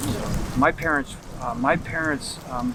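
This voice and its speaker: With an American accent, a man speaks with ordinary pitch variation. Noticeable background noise is present. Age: 70s. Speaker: scholar. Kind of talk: street interview. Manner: halting.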